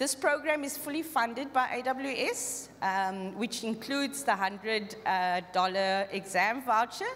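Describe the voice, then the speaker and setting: This woman has a fairly high pitch and lively intonation, speaking at a fairly slow pace with hardly any pauses. Noticeable background noise runs under her voice. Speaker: tech company skills program lead. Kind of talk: conference pitch.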